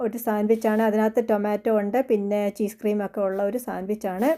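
The woman's voice is fairly high in pitch with a dark, mellow tone. The recording is very clean, with a silent background. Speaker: cooking vlogger. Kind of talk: vlog narration. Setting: kitchen.

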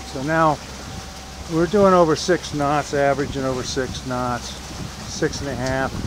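Dry sound with no echo, set against noticeable background noise. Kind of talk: casual vlog commentary. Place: boat. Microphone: phone near.

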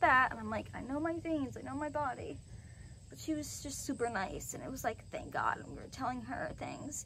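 Light background noise sits under this recording. A woman speaks at a fairly quick pace. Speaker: vlogger. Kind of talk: casual vlog chat. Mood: upset, venting frustration. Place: open country. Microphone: phone near.

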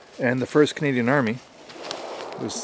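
Noticeable background noise surrounds a man speaking at a fairly quick pace. His pitch is medium, and the sound is dry with no echo. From Canada. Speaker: history and shooting video creator; shooting video creator. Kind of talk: vlog-style history talk. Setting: outdoors at an old wartime rifle range. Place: forest. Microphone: phone near.

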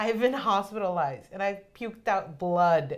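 A woman talks at a medium pitch in an animated tone. Her intonation is lively, and the background is quiet. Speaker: student podcast co-host. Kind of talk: casual chat. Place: meeting room.

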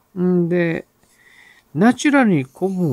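A fairly high-pitched man speaking at a fairly slow pace. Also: very clean recording, silent background. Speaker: novelist and writing-course teacher hosting a radio-style show. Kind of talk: solo talk answering listener mail. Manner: hesitant with many fillers.

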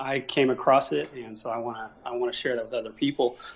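A man at a fairly quick pace, medium in pitch, with fairly even intonation. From Oklahoma, US. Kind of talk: debate interview. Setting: phone call from abroad.

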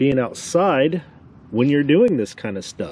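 A man speaks with a dark, mellow tone and very wide pitch swings. The sound is dry, with no echo. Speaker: amateur radio operator. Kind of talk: tutorial. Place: open country.

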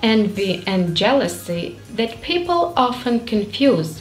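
A woman speaks at a fairly slow pace in a fairly high voice. Faint music plays in the background. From Ukraine. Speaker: English learner. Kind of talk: casual talk to camera. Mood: warm, friendly. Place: home room.

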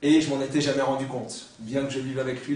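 A man's monotone, flat delivery at a fairly quick pace, with audible room echo and light background noise. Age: 40s. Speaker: writer. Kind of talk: lecture; seminar talk. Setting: university seminar with audience. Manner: halting. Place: classroom.

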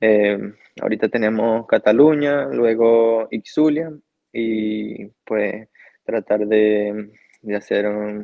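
Over a quiet background, a man speaks at a very slow pace. His pitch is fairly low, with ordinary pitch variation. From Venezuela, Yaracuy; Venezuela. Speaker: professional cyclist; guest. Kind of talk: interview. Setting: remote call. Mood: calm, grateful. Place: home room. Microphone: video call.

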